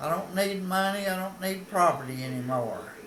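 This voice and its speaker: A man with an Appalachian accent at a fairly slow pace, with audible room echo and noticeable background noise. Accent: Appalachian Southern US. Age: 80s+. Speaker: local historian. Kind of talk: casual storytelling monologue. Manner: folksy, with hesitations.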